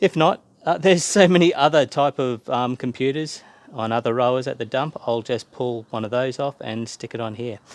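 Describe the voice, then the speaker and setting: In a dry sound with no echo, a man speaks at medium pitch with ordinary pitch variation. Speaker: YouTuber salvaging items from the dump. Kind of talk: casual vlog talking to camera. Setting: at home, near neighbour's porch. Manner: hesitant, many fillers; quieter when neighbour is near. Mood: enthusiastic, admiring. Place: garden. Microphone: phone near.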